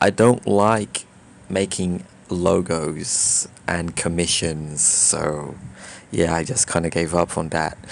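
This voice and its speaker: A man talks at a very slow pace. His pitch is very deep and low, with ordinary variation. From Brazil. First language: Portuguese. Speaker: YouTuber. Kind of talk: casual vlog monologue. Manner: halting, many fillers and restarts.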